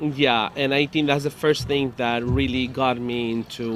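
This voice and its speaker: A man's voice against noticeable background noise. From Mexico, Guanajuato. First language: Spanish (speaking Bulgarian). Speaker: salsa musician. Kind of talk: interpreted interview. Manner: halting.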